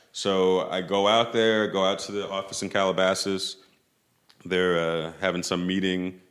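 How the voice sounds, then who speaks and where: Flat, monotone intonation at a moderate pace with a New York accent. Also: man. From New York City (Tribeca). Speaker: footwear designer. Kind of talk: interview. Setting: studio.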